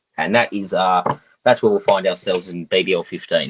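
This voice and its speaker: Recorded dry and close with no echo, a man with an Australian accent speaks at a moderate pace. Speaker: fantasy cricket podcast co-host. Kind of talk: casual chat. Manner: joking, conversational.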